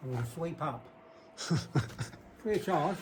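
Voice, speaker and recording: The speech moves at a fairly quick pace amid noticeable background noise. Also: man. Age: 70s. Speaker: bricklayer. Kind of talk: casual on-site talk.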